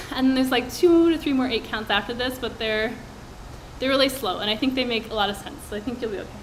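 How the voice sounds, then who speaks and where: A woman speaks very fast in a high voice, with ordinary pitch variation. Noticeable background noise and audible room echo are present. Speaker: dance instructor. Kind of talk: dance class instruction.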